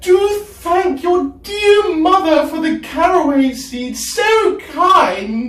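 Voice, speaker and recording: A put-on character voice pitched extremely high moves at a very slow pace, with a slight echo. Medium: read story.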